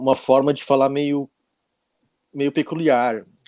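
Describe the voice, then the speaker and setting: Over a quiet background, a man speaks at a fairly slow pace in a dark, mellow tone, the sound dry and close with no echo. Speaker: speaker on temperaments. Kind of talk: casual interview.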